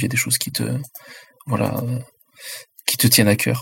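This is a man speaking. His pitch is medium. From France, Chinese immigrant parents. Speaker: independent role-playing game designer. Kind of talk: roundtable discussion.

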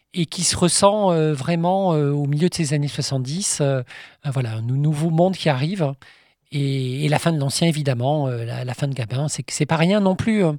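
A man with a normal speaking voice talks at a fairly slow pace and a fairly high pitch, with ordinary pitch variation, in a very clean recording with a silent background. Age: 50s. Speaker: film historian and author. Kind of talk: interview.

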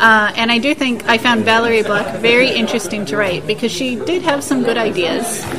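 A woman with an American accent speaks at a fairly quick pace with hardly any pauses, her fairly high voice showing ordinary pitch variation. Audible room echo and noticeable background noise are present. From United States. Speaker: science fiction author and part-time lecturer. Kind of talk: interview. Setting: busy press room at a festival.

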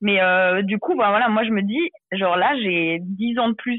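A woman with an unremarkable speaking voice at a medium pitch, at a moderate pace with lively intonation. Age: 20s. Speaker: author and social media creator. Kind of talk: interview.

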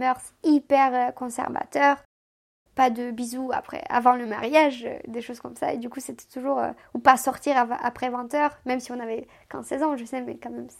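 A woman speaks at a moderate pace in a high pitch, her intonation flat and monotone. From Moldova (Chisinau). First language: Romanian (speaking French). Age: 20s. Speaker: immigrant telling her life story. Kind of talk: casual chat.

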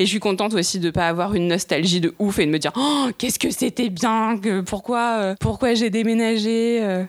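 A woman speaks in a plain, everyday voice at medium pitch and a moderate pace. Her loudness stays very even, with ordinary pitch variation. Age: 30s. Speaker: graphic designer. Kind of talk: casual interview.

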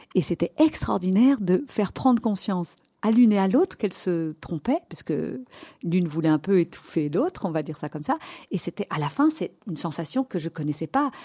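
A woman talks at a fairly quick pace in a medium pitch, her voice somewhat breathy with a dark, mellow tone. Her pitch swings very widely, and the sound is dry and close with no echo. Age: 50s. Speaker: pediatrician. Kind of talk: interview. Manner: animated.

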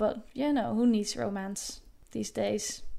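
Speaking with a Dutch accent, the woman has a fairly high-pitched voice. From Netherlands. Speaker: animation director. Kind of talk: voice message monologue. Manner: hesitant with fillers.

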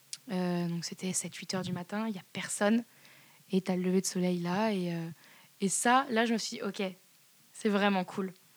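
Speaking at a moderate pace, a woman with a medium pitch keeps a fairly even intonation. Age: 20s. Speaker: Parisian art lover interviewee. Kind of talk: casual interview chat. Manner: hesitant, many fillers.

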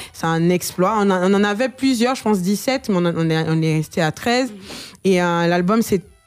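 A woman speaks at a moderate pace in an unremarkable speaking voice. Her pitch is medium, with ordinary variation. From Côte d'Ivoire. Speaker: singer. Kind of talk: radio interview.

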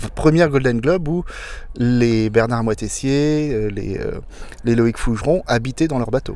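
A man talks at a fairly slow pace in a medium pitch with ordinary pitch variation, over noticeable background noise. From France, Loire Valley (Blois). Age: 50s. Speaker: solo sailor. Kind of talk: interview. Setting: outdoors on a boat in port.

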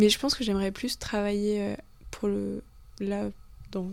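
The recording is very clean and the background silent. A woman talks. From Le Mans, France. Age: 20s. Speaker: tourism student. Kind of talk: casual chat.

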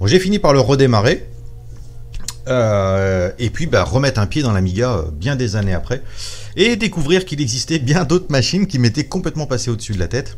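The man's pitch sits in the middle range but swings very widely. He talks at a fairly quick pace. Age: 40s. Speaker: YouTuber and computer repairer. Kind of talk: personal testimony.

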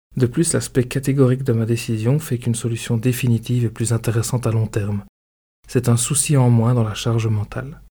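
A man with a medium pitch and a dark, mellow tone speaks at a fairly quick pace, somewhat breathy, with fairly even intonation. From Belgium. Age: 30s. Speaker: podcaster. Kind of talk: scripted narration.

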